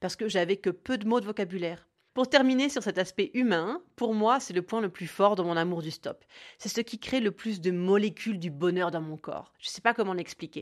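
Against a quiet background, a woman with a plain, everyday voice talks at a moderate pace and medium pitch, with ordinary pitch variation. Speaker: podcaster. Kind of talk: scripted narration. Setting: home recording.

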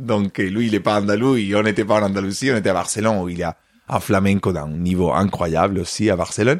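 A man with a fairly low pitch and ordinary pitch variation, on a very clean recording with a silent background. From Spain, Córdoba (Andalusia). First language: Spanish (speaking French). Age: 30s. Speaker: flamenco dancer and choreographer. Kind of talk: interview.

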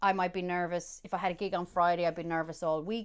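With an Irish midlands accent, a woman talks in an animated tone. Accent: Irish (Roscommon, midlands). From Ireland, County Roscommon. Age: 30s. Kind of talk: casual interview chat. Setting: remote recording.

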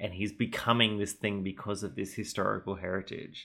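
A man's fairly low voice, bright and sharp in tone, moves at a moderate pace on a very clean recording with a silent background. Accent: Australian. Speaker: podcast host. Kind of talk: casual chat.

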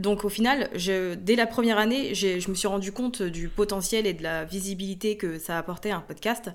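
A woman with a plain, everyday voice, medium pitch, ordinary pitch variation, a moderate pace and hardly any pauses. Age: 30s. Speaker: entrepreneur and online trainer. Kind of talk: interview conversation.

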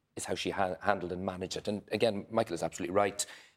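Someone with an Irish accent speaks on a very clean recording with a silent background. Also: man. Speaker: politician. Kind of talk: panel discussion. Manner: halting.

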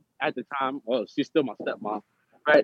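This is a man speaking. He has a New York accent. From New York City (Harlem, Brooklyn, Bronx). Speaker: formerly incarcerated actor. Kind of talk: interview.

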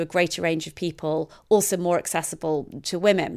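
A woman speaks in a plain, everyday voice with a fairly low pitch and fairly even intonation, in a very clean recording with a silent background. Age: 40s. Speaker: literature professor and biographer. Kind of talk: interview.

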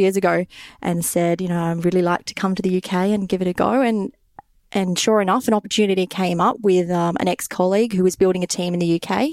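A woman with an Australian accent speaks at a medium pitch and a fairly quick pace. Her intonation is fairly even, and the sound is dry and close with no echo. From Australia, Sydney. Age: 20s. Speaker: finance podcast listener living abroad. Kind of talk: casual interview.

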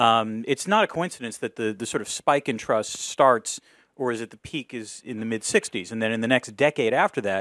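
A normal speaking voice with an American accent talks at a fairly quick pace. The sound is dry and close with no echo, on a very clean recording with a silent background. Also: man. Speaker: professor and political commentator. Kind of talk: public lecture discussion. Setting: stage with audience.

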